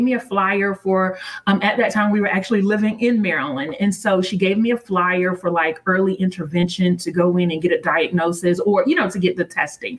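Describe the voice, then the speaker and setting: A woman speaks at a moderate pace and medium pitch. Noticeable background noise can be heard. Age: 40s. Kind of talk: interview.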